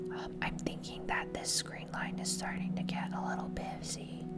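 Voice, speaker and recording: Someone whispers over noticeable background noise. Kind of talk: ASMR gameplay commentary. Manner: whispered.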